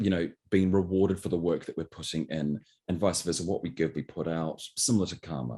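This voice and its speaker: A man's very deep, low voice, dark and mellow with vocal fry, at a fairly quick pace and with ordinary pitch variation. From New Zealand. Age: 30s. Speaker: actor. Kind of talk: interview. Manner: hesitant, many fillers.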